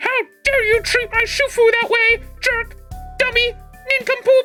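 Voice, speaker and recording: A woman's put-on character voice at an extremely high pitch, monotone and flat, at a moderate pace with faint music in the background. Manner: scolding, indignant.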